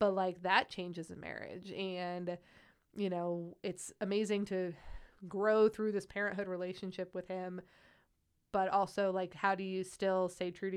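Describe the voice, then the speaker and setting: Against a quiet background, a woman with a Midwestern American accent speaks at a moderate pace and a medium pitch in a monotone, flat intonation. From Ohio, near Akron. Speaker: pediatric oncology nurse. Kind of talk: casual chat.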